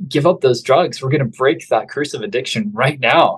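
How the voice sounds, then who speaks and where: Speaking at a fairly quick pace, a man with an American accent has a fairly high pitch and a somewhat breathy voice. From US, northern Idaho. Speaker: wellness center founder. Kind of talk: testimony.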